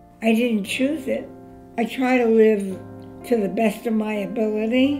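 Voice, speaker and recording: Faint music plays in the background as a woman speaks. Her pitch is fairly high and her pace fairly slow. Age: 80s+. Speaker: great-grandmother. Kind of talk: interview answer. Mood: warm, reflective.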